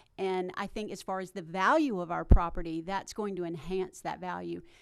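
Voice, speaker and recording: A woman with a Tennessee accent, medium pitch, ordinary pitch variation and a moderate pace. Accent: Southern US (Tennessee). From Smyrna, Tennessee (US South). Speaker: town council candidate. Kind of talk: candidate forum answer.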